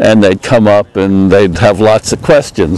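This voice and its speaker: Noticeable background noise sits behind speech at a fairly slow pace. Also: man. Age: 70s. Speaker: retired engineer, park volunteer. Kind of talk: interview testimony. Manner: halting, many filler words.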